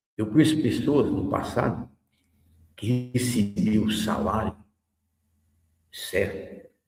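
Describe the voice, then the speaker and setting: A somewhat breathy man at medium pitch, very slow in pace, with long, frequent pauses. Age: 70s. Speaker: radio host. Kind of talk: radio commentary. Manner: conversational.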